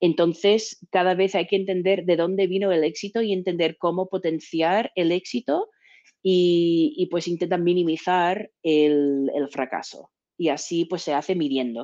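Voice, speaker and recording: A woman's fairly low, dark, mellow voice at a fairly slow pace, with very even loudness and ordinary pitch variation. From Texas. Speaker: business development manager. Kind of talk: interview.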